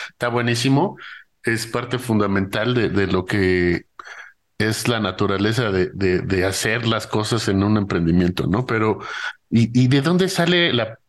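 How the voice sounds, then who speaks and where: Against a quiet background, a man speaks at a fairly slow pace and a medium pitch with ordinary pitch variation. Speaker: podcast host. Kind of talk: interview conversation. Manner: halting.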